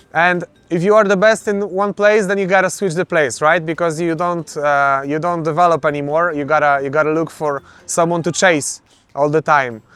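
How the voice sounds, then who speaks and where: A man with a Polish accent talks at a moderate pace and fairly high pitch, his pitch varying in an ordinary way. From Poland. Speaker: MMA fighter. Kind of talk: interview. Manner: halting.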